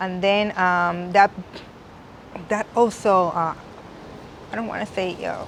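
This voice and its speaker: The speech moves at a very slow pace with long, frequent pauses. The intonation is monotone and flat. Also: woman, medium pitch for a woman. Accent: strong Puerto Rican. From Puerto Rico. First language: Spanish. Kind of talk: interview. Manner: halting, with frequent restarts.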